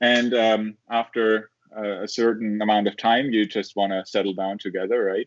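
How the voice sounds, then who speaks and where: With a German accent, a man talks at a fairly low pitch. His intonation is monotone and flat. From southern Germany. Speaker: engineering professor. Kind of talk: interview. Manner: halting, many fillers and repeats.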